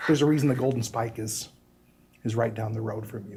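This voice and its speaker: A man's somewhat breathy voice carries fairly even intonation, with audible room echo. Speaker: inland port agency representative. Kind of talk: presentation to city council. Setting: city council meeting. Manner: fast.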